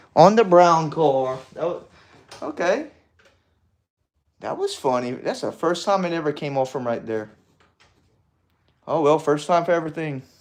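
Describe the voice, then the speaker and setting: Long, frequent pauses break up this man's moderate pace. His pitch is fairly high, with ordinary variation. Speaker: model railroad hobbyist streamer. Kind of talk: casual live stream chat. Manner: animated.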